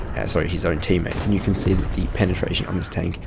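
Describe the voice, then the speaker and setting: A quiet man with an Australian accent speaks in a very deep, low voice. Audible room echo surrounds him, and music plays in the background. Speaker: gaming video reviewer. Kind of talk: game review commentary. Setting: at home, others asleep. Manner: speaking quietly.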